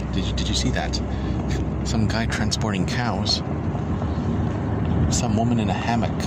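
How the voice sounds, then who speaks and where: Moderately paced speech from a man, loud background noise behind it. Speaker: vlogger. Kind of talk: casual vlog chat. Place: car. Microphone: phone near.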